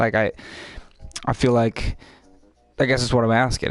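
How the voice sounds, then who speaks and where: Music plays in the background as a man speaks with a medium pitch. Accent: West Coast US. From US West Coast, Pacific Northwest. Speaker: gaming streamer. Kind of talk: live gameplay stream chat. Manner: casual, repetitive.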